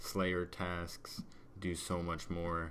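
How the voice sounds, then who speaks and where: A man's very deep, low voice with a bright, sharp tone and audible room echo. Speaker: gaming video creator. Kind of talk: gameplay commentary. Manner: monotone.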